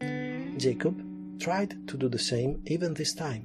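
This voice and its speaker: Music plays in the background as a speaker with an Italian accent talks with very wide pitch swings. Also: man. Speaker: anime and comics culture video narrator. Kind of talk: friendly cultural explainer talk. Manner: friendly.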